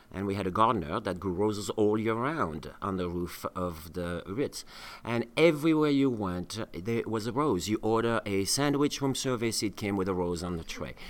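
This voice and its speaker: A man speaks at a moderate pace in a fairly low voice, with lively intonation and hardly any pauses. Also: very clean recording, silent background. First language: French. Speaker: chef and cooking school co-host. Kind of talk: storytelling in casual chat. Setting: studio. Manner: halting, many fillers.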